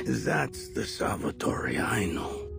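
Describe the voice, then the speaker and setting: A man's cartoonish character voice over loud music in the background. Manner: weary, warm.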